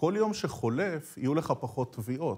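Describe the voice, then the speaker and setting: Against a quiet background, a man with a fairly high pitch speaks at a fairly slow pace. His voice is somewhat breathy and swings very widely in pitch. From Israel. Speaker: TV economics interviewer. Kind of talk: news interview. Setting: studio. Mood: pointed, challenging. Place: studio.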